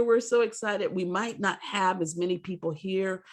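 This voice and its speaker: Here a woman with an American accent speaks at a moderate pace. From grew up moving around, US military family, Southern roots. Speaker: poet. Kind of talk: interview. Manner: animated.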